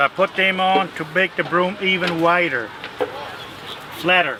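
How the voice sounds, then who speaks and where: A man speaks at a high pitch with long, frequent pauses. Noticeable background noise is present. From South Dakota, around Mitchell, German-speaking home. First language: German. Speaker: broom maker, craft demonstrator. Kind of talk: craft demonstration and interview.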